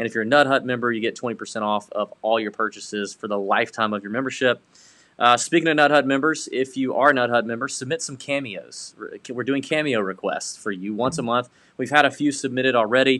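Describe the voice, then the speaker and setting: The speech moves at a fairly quick pace. A bright, sharp tone rides on ordinary pitch variation. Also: man, medium pitch for a man. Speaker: golf betting podcast host. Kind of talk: casual sports betting chat. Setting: home studio, co-hosts in same room. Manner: animated. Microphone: webcam.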